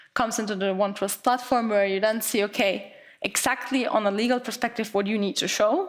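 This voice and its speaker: Her pitch is fairly high, with ordinary pitch variation. The woman speaks at a fairly quick pace. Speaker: account manager giving a conference talk. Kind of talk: conference presentation. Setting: stage with audience. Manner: fast; halting, with repetitions and fillers.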